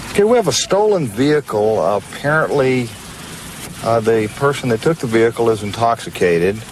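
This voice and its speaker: Fairly quick male speech at a medium pitch, with noticeable background noise. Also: ordinary pitch variation, very even loudness. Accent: Texan. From Texas. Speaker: police officer. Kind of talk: interview to camera.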